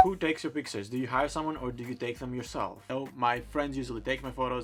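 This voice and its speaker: Music plays in the background as a man speaks very fast. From Greece, Thessaloniki. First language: Greek. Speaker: fashion blogger. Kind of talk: casual Q&A vlog.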